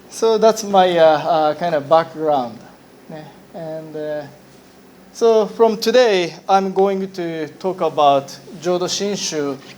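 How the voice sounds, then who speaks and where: Speaking very slowly in a Japanese accent, this voice has ordinary pitch variation, big swings in loudness, and long, frequent pauses. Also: man, high pitch for a man. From Japan, Hiroshima. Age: 40s. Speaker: Buddhist minister. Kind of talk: lecture. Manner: halting.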